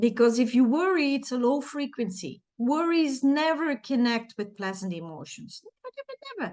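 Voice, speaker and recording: A woman with a Dutch accent speaks at a moderate pace in a high voice, her pitch swinging very widely against a quiet background. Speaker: self-help coach. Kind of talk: tutorial.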